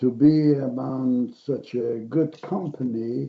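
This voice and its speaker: Using ordinary pitch variation, a man talks at a very slow pace. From Poland, Warsaw. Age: 90s. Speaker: Holocaust survivor speaker. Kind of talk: personal testimony. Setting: virtual event.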